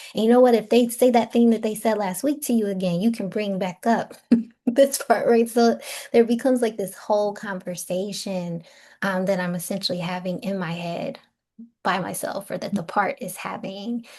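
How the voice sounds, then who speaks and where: A woman speaks at medium pitch and a moderate pace, somewhat breathy, with a dark, mellow tone. Her pitch variation is ordinary, and the background is quiet. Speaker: spiritual teacher and psychotherapist. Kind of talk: online teaching talk.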